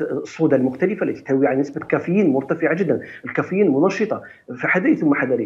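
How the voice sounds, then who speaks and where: In an ordinary speaking voice, a man talks at a fairly quick pace with a fairly high pitch and lively intonation. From Algeria. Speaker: doctor giving health advice; guest. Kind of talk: TV morning show interview. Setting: TV studio, live. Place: office. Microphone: video call.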